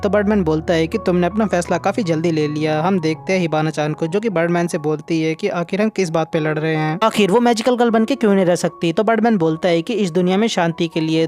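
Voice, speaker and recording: The speaker talks with hardly any pauses while music plays in the background. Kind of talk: anime recap narration.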